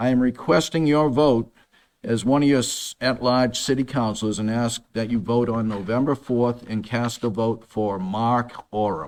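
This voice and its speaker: Heard in a very clean recording with a silent background, a man speaks in a normal speaking voice with an American accent. His pace is moderate, his pitch medium, with ordinary pitch variation. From Massachusetts. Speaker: city council candidate. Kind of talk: debate opening statement. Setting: stage with audience.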